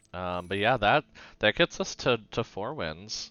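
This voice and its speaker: A fairly low-pitched male voice talks at a moderate pace while music plays behind him. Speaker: gaming streamer. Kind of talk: live gameplay commentary. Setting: live stream. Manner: halting, many restarts and fillers.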